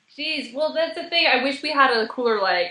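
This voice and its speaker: Here is a woman with a normal speaking voice. She talks at a fairly quick pace with ordinary pitch variation. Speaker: guest, improv performer and Twitter page co-creator. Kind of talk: casual interview.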